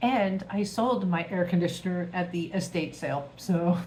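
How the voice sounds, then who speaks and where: A woman speaks very slowly at a fairly low pitch. Her voice is somewhat breathy, with fairly even intonation. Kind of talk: casual talk to camera. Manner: chatty, humorous.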